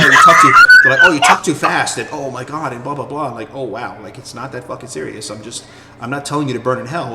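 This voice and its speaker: A man talks very fast in a New York accent. There is noticeable background noise. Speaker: gaming community member. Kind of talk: casual chat. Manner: loud.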